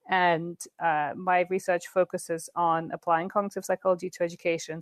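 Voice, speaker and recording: A woman with a fairly low pitch for a woman speaks with an American accent. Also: dry, close sound with no echo. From England. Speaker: psychology professor. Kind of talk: interview.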